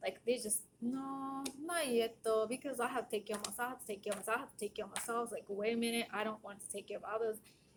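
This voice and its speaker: At a very fast pace with hardly any pauses, a woman with a Japanese accent speaks at a fairly high pitch, showing ordinary pitch variation and big swings in loudness. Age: 40s. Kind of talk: casual monologue.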